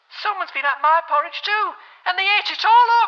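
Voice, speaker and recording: A put-on character voice, female-sounding, at an extremely high pitch and a fairly quick pace. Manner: upset.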